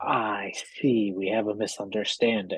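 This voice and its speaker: This put-on character voice sits at a low pitch and moves at a moderate pace. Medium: actual play. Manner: lofty, self-righteous.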